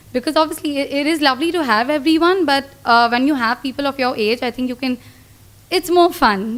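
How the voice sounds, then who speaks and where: At a fairly quick pace, a woman speaks at a high pitch with ordinary pitch variation. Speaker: retreat participant. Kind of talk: testimony. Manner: talkative.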